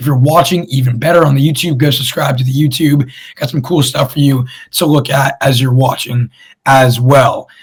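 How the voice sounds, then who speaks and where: A somewhat breathy man speaks at a moderate pace in a fairly high pitch, with fairly even intonation. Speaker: sports podcast host. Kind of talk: casual sports talk show. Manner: casual, conversational.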